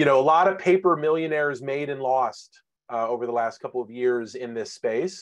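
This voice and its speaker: A man at a moderate pace, fairly high in pitch with ordinary pitch variation, over a quiet background. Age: 40s. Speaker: webinar host, former journalist. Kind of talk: webinar moderation. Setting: video call. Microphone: webcam.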